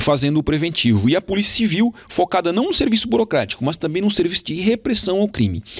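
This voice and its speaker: A man's voice shows vocal fry. His pitch swings very widely. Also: quiet background. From Santa Catarina, Brazil (Turvo); Santa Catarina, Brazil. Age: 30s. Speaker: police chief and political candidate; candidate. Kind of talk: campaign interview. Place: studio. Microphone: handheld.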